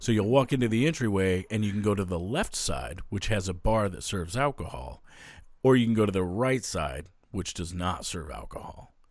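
A man's fairly low voice with vocal fry at a moderate pace, on a very clean recording with a silent background. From Maine. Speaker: podcast host. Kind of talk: casual banter.

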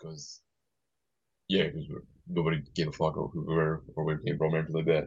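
This man's speech comes out at a very fast pace. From Scotland. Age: 30s. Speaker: band member. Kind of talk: casual chat.

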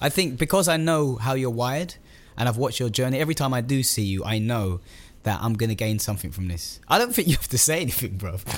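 Talking at a very fast pace, a man with an East London accent keeps a medium pitch and lively intonation. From East London (Stratford). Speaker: podcast host. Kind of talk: casual chat. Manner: animated.

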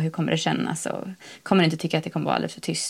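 The woman talking keeps up a very fast pace. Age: 30s. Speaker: blogger and new mother living rurally. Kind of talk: casual interview.

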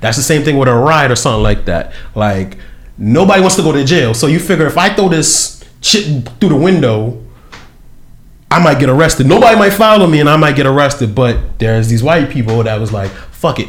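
Amid audible room echo, a man speaks at a fairly quick pace in a somewhat breathy voice with very wide pitch swings. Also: fairly high pitch for a man. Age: 30s. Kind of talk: casual chat.

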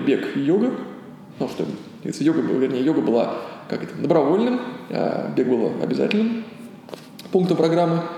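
Over noticeable background noise and audible room echo, a man talks at a fairly high pitch with very wide pitch swings. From Russia, Ulyanovsk. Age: 30s. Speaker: yoga teacher. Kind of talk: interview. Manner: halting.

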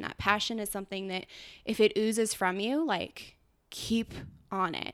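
A woman with an American accent in an ordinary speaking voice, moderate pace and fairly even intonation, on a very clean recording with a silent background. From California, Truckee. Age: 20s. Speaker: elopement photographer. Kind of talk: casual chat.

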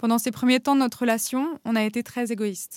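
A woman's fairly high-pitched voice at a moderate pace, recorded with a dry, close sound and no echo. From France, Paris then Normandy. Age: 30s. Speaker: guest sharing personal story. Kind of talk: scripted narration.

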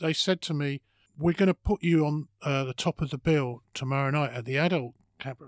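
With an English accent, a man talks at a fairly quick pace and fairly high pitch with fairly even intonation, the very clean recording dry and close with no echo and a silent background. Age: 50s. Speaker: comedian. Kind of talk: casual chat. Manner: halting.

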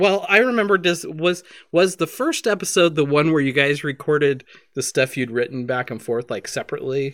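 In an ordinary speaking voice, a man talks fairly quickly at a fairly high pitch, with lively intonation. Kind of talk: casual chat and tabletop game session.

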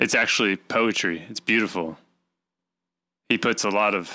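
A man with a bright, sharp tone is heard on a very clean recording with a silent background. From Arkansas, US South. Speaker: podcast host. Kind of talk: casual chat.

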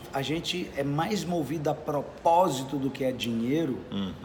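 Fairly slow pace, noticeable background noise and audible room echo. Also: man. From Brazil, Minas Gerais (Belo Horizonte). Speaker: sales speaker. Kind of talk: interview. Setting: at a sales event in Curitiba.

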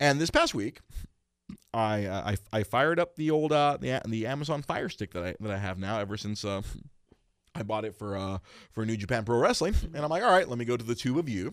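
The delivery is animated, with lively intonation. The pace is fairly quick. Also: man, medium pitch for a man. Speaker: podcast host. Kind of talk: casual chat. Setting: studio. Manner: loud; animated, laughing often.

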